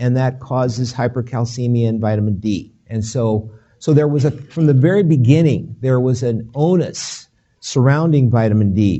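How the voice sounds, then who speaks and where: Audible room echo surrounds a man speaking at medium pitch and a moderate pace. His voice is somewhat breathy, with ordinary pitch variation. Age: 60s. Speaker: physician. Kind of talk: lecture. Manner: halting, with many fillers and restarts.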